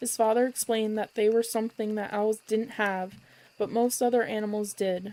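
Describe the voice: A plain reading aloud.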